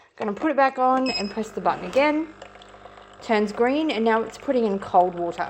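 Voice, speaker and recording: A woman with an Australian accent speaks with lively intonation over noticeable background noise. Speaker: parent product reviewer. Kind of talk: product review tutorial. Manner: casual, brisk.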